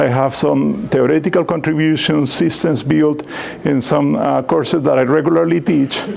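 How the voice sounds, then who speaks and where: A man with a fairly high voice and ordinary pitch variation talks over noticeable background noise, with audible echo in the room. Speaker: computer science professor. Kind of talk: lecture. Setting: seminar talk with microphone. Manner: loud.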